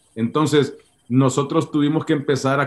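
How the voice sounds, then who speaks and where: A man talks at a fairly slow pace. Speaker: pastor. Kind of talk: interview. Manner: halting, many repetitions.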